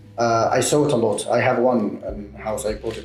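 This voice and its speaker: A man talks at a fairly quick pace, with audible room echo and music playing in the background. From Egypt. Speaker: medical student. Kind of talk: interview. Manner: halting, many fillers.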